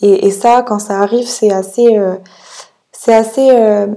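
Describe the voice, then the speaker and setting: A woman speaks at a fairly slow pace. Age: 20s. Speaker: yoga teacher and podcaster. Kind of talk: personal storytelling monologue. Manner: hesitant, many fillers.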